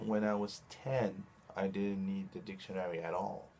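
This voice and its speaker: A man talks with a Spanish accent. His pitch sits fairly low. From Chile. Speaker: video blogger. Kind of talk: casual monologue. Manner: halting, with restarts.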